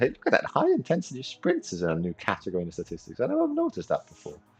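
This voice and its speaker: A man talking at a very fast pace, music playing in the background. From Austria. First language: German. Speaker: video game streamer. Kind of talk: live gameplay commentary and chat. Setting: livestream. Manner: animated.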